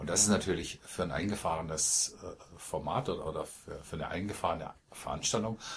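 A man's voice is somewhat breathy and rises and falls with lively intonation. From Baden, Malsch south of Karlsruhe. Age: 50s. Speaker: poetry slam performer and organizer. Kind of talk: interview, casual conversation. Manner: hesitant, frequent fillers.

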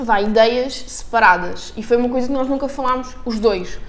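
With fairly even intonation, a woman speaks amid audible room echo. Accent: European Portuguese. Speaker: podcast co-host. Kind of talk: casual chat.

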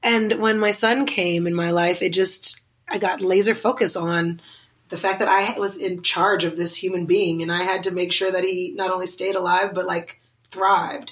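A woman speaks in a normal speaking voice with an American accent. Her pitch is medium, her pace moderate and her intonation fairly even. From US South, Oklahoma City. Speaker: interior designer and TV personality. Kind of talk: casual interview.

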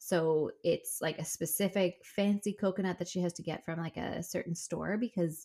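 In a Newfoundland accent, a woman talks at a moderate pace with a fairly low pitch on a very clean recording with a silent background. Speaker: dietitian and podcast co-host. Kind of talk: casual chat. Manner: animated.

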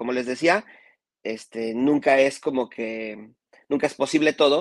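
Recorded with a dry, close sound and no echo, a man talks in an ordinary speaking voice at a medium pitch. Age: 30s. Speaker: music video director. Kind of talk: casual chat. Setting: live stream.

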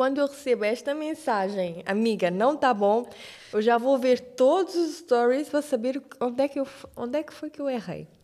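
Lively in intonation, a woman's high voice carries at a moderate pace. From Cape Verde, Santiago (Cidade Velha). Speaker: TV presenter. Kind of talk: casual chat.

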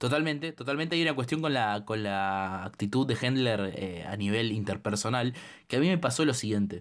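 In a very clean recording with a silent background, a man of medium pitch speaks at a moderate pace with lively intonation and a Rioplatense accent. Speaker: podcast co-host, film critic. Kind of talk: casual chat.

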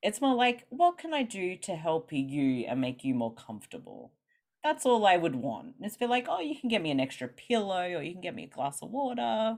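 The speaker has an Australian accent. Pitch swings very widely and loudness rises and falls a great deal. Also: woman, medium pitch for a woman, moderate pace. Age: 30s. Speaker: guest talking about chronic illness. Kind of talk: casual interview chat.

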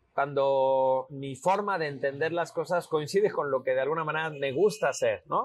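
With a fairly high pitch, a man talks at a fairly slow pace. He has an ordinary speaking voice. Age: 40s. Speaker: homeopath and visual artist. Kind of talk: casual interview. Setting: outdoors on a terrace.

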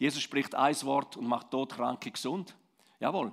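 A man speaks with a Swiss accent. His pitch varies in an ordinary way. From Switzerland, Romansh-speaking Graubünden. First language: Romansh (speaking German). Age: 50s. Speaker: pastor. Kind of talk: sermon.

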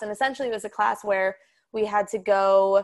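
Heard on a very clean recording with a silent background, a woman with an unremarkable speaking voice talks at medium pitch with fairly even intonation. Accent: American. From Colorado. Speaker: chiropractic student. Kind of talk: casual interview.

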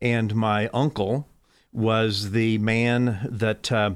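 A man with an American accent speaks at a medium pitch, recorded very cleanly against a silent background. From Fort Wayne, Indiana. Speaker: local business owner. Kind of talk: casual interview.

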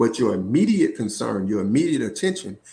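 A man with a Southern US accent. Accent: Southern US (Georgia). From US South, Georgia. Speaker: school administrator. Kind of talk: casual interview.

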